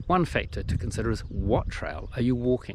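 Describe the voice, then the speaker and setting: Here a man speaks with a New Zealand accent. His pace is fairly quick. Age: 60s. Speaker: hiking vlogger. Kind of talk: tutorial. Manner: casual, conversational.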